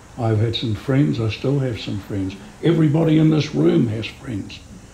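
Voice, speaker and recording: With lively intonation, a man speaks at a moderate pace amid noticeable background noise. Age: 70s. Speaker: humanist celebrant and audience member. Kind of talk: audience comment at a public talk.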